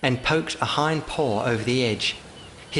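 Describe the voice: A passage in plain reading aloud, its pitch varying in an ordinary way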